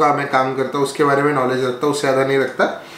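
A man talks over light background noise. There is audible room echo. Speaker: product reviewer. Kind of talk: casual unboxing talk. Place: home room.

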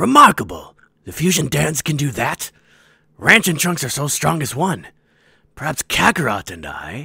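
Using a put-on character voice, a man sounds raspy and fairly high-pitched, leaving long, frequent pauses. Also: moderate pace. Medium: dub. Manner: boastful, commanding.

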